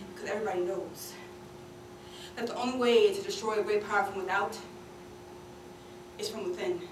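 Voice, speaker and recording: A woman talks at a very fast pace, her pitch fairly high. Audible room echo and noticeable background noise surround her. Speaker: slam poet. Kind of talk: spoken word performance.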